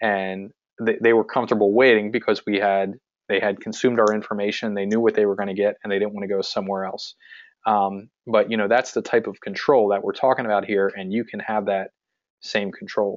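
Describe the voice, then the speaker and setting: A man with a central Pennsylvania accent, fairly low-pitched, fairly quick, and flat and monotone in intonation. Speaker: physical therapist and practice owner, marketing coach. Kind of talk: webinar sales pitch. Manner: frequent filler words (um, uh).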